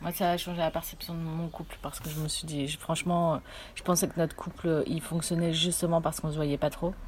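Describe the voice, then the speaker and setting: A woman talks at a fairly quick pace in a fairly low, somewhat breathy voice. Her intonation stays monotone and flat. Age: 20s. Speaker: theatre company worker. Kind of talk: casual chat.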